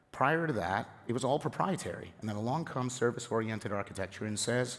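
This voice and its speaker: A man with a medium pitch talks at a very fast pace. The recording is very clean, with a silent background. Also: ordinary pitch variation. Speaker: software architect. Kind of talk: conference talk. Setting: stage with audience. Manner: animated.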